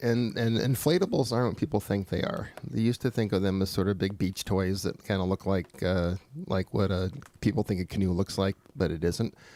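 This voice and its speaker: An ordinary speaking voice from a man, fairly low-pitched with ordinary pitch variation, fairly quick pace and very even loudness. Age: 60s. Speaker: paddling expert. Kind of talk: radio call-in interview.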